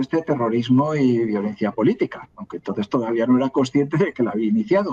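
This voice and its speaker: In a dark, mellow tone at a medium pitch, a man speaks at a fairly quick pace with ordinary pitch variation, the sound dry and close with no echo. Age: 60s. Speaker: historian. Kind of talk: interview. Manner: halting, with false starts and repetitions.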